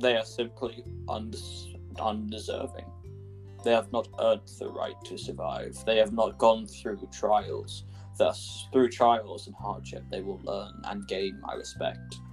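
Clear music plays behind a man doing a put-on character voice. His pitch is fairly low and his pace fairly slow. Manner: cold, menacing, grandiose.

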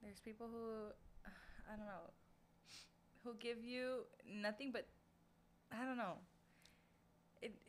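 An animated woman with a fairly high pitch speaks at a fairly slow pace, leaving long, frequent pauses. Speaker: podcast co-host. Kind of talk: casual chat. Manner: animated, laughs often.

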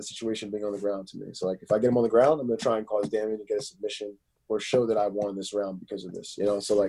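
A man with a Philadelphia accent rushes at a very fast pace with hardly any pauses, his dark, mellow tone showing big swings in loudness. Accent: Philadelphia American English. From Philadelphia area, US. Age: 20s. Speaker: MMA fighter. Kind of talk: casual interview chat.

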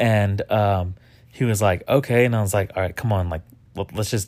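In a very clean recording with a silent background, a man speaks in a somewhat breathy, fairly low voice. His pace is fairly quick, and his pitch varies in an ordinary way. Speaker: podcast co-host. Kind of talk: casual chat.

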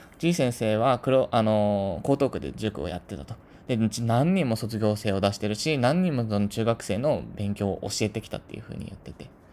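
A man with a dark, mellow tone talks at a fairly low pitch and a fairly quick pace. His intonation is lively, and his loudness swings widely. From Tokyo, Japan. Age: 30s. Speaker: podcast host, office worker. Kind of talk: casual monologue. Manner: unpolished, not used to talking. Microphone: cheap equipment, may be hard to hear.

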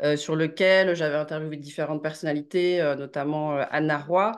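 Behind the voice, the background stays quiet. The speaking pace is fairly slow. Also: woman. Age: 30s. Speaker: journalist and author. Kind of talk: interview. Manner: hesitant with fillers.

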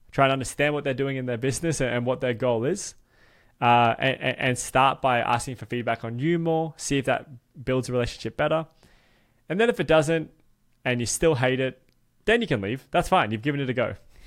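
There is a very clean recording with a silent background. A man with an American accent speaks at a fairly quick pace and medium pitch, with ordinary pitch variation. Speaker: podcast host. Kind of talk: casual interview.

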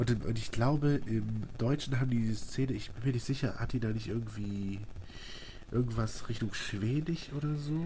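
Heard with audible room echo, a man speaks at a moderate pace in a dark, mellow, somewhat breathy voice of medium pitch with ordinary pitch variation. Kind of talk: casual chat.

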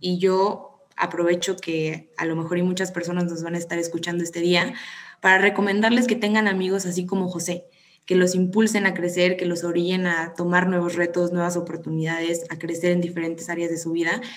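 A woman with a fairly low pitch speaks at a fairly quick pace in monotone, flat intonation, with audible room echo. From Mexico, Tampico. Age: 20s. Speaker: psychology student. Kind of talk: casual chat.

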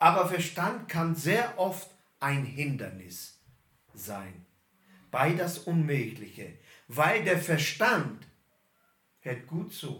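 Speech moves at a very slow pace with long, frequent pauses and vocal fry. Pitch swings are very wide. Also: man, fairly high pitch for a man. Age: 50s. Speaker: pastor. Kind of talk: sermon.

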